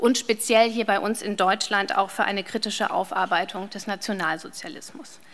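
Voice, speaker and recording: This woman talks at a fairly quick pace in a fairly high voice, her intonation fairly even. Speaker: head of university general studies program. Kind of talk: welcome speech. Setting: lecture hall with audience. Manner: formal. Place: hall. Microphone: podium.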